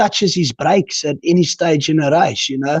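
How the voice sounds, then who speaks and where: A man with a South African accent at a moderate pace, the sound dry and close with no echo. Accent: Afrikaans-accented English. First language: Afrikaans. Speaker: quad racer. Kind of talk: interview answer.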